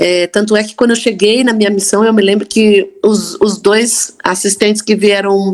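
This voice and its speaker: A woman at a moderate pace. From Brazil, Campinas (São Paulo state). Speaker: church member sharing faith story. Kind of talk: testimony.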